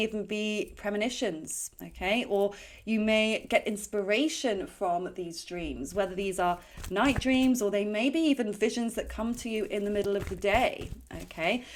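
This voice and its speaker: Fairly high in pitch, a woman talks at a moderate pace in a normal speaking voice with ordinary pitch variation. The recording is very clean, with a silent background. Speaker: tarot card reader. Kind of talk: psychic card reading monologue.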